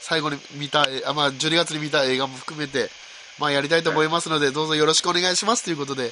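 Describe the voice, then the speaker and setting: A man talks at a very fast pace with fairly even intonation, and noticeable background noise can be heard. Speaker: podcast host. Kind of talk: casual chat. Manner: soft-spoken. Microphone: recorded on iPod and iPad, may be quiet.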